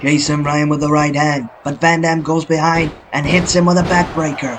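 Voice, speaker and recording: Over noticeable background noise, a man with a fairly high pitch talks at a moderate pace in a flat, monotone intonation. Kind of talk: sports commentary. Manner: play-by-play commentary.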